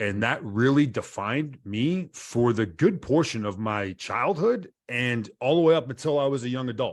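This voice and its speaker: An unremarkable speaking voice from a man at medium pitch, with hardly any pauses, on a very clean recording with a silent background. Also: lively intonation, moderate pace. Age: 40s. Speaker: soldier. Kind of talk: interview.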